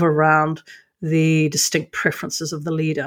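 A woman speaks fairly quickly with a very deep, low pitch. The recording is very clean, with a silent background. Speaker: podcast co-host. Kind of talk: casual conversational podcast discussion.

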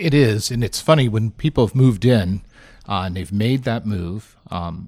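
At a moderate pace, a man talks in an unremarkable speaking voice, fairly low with ordinary pitch variation, in a very clean recording with a silent background. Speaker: senior living professional. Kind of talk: interview conversation.

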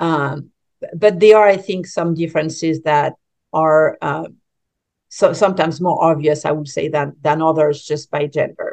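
A woman speaks with a French accent in a very deep, low pitch. Her pace is moderate and her intonation fairly even. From France. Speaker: business coach. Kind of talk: interview. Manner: halting, many fillers.

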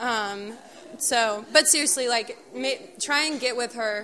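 A woman's bright, sharp voice. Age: 20s. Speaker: youth group speaker. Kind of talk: youth group talk.

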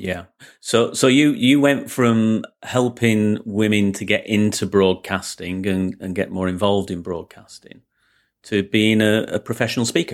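Speaking in a Lancashire accent, a man talks at a fairly slow pace with a fairly low pitch and fairly even intonation. The recording is very clean, with a silent background. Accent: Lancashire (Bolton). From northern England. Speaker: podcast host, business coach. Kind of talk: interview.

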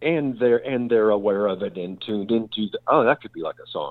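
In a Texan accent, a man talks at a very fast pace. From Texas, La Porte near Houston. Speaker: bass player. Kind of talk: casual interview. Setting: studio.

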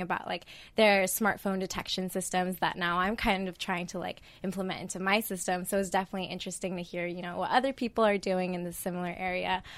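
Speaking at a very fast pace in a flat monotone, a woman with a General American accent and medium pitch is heard on a very clean recording with a silent background. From Idaho. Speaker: biomedical engineering student. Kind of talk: interview.

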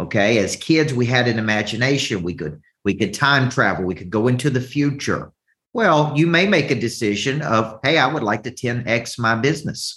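This man has a Southern US accent and a medium pitch. He talks at a moderate pace with lively intonation. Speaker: business coach. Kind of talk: motivational coaching talk. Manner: animated, motivational.

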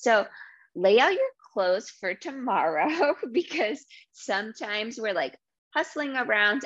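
A woman with an American accent speaks at a fairly slow pace with lively intonation against a quiet background. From New England (Rhode Island and Massachusetts). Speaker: podcast host, dental practice manager. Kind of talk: casual solo podcast talk. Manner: warm, enthusiastic.

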